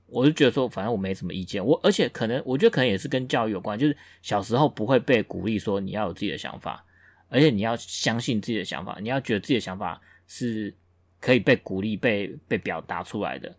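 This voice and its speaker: Over a silent background, a man speaks in a very clean recording. He talks at a very fast pace, medium in pitch with ordinary pitch variation. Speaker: podcast co-host. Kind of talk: casual chat.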